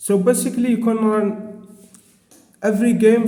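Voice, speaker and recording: In a room with audible echo, a man with a non-native accent talks in a monotone, flat intonation. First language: not English. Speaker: tech reviewer. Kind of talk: product review. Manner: halting.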